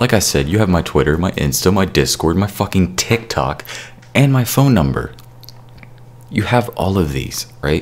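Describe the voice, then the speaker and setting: Speaking at a moderate pace, a man with a very deep, low pitch uses lively intonation. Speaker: YouTube music creator and podcaster. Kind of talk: angry rant, a furious, profanity-laden callout aimed at a former co-host. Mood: angry, frustrated. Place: home room. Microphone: studio mic.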